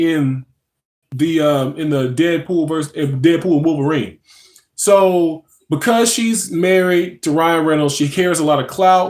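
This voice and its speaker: A man's fairly high voice at a fairly slow pace, with ordinary pitch variation. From North Louisiana, US South. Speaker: pop culture live streamer. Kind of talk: casual live stream chat. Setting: live stream at home in a recliner. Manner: halting, many fillers.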